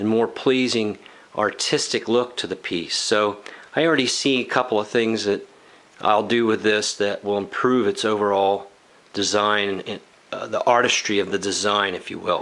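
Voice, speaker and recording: A man's pitch sits fairly low, and his intonation stays fairly even. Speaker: woodworking youtuber. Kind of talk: tutorial. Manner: slow; halting.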